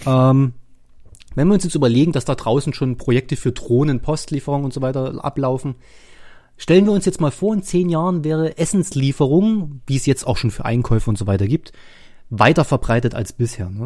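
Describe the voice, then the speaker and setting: A fairly quick delivery on a very clean recording with a silent background. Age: 30s. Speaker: podcast host. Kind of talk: casual chat.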